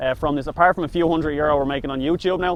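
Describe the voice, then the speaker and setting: A man's fairly high-pitched voice with a Dublin accent and fairly even intonation. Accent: Dublin Irish. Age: 20s. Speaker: food reviewer. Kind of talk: casual chat.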